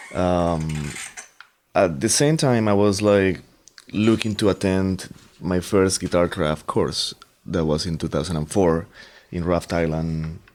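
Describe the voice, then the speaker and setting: A man with a Colombian accent speaks fairly slowly in a very deep, low voice, with ordinary pitch variation and long, frequent pauses. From Colombia, Bogota. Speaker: guitarist and composer. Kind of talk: interview.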